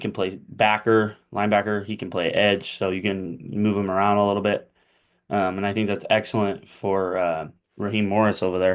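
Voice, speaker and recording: Over a quiet background, a man with a fairly low pitch speaks at a fairly quick pace with monotone, flat intonation. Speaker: sports video creator doing NFL mock drafts. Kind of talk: solo commentary on mock draft. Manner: hesitant, many fillers.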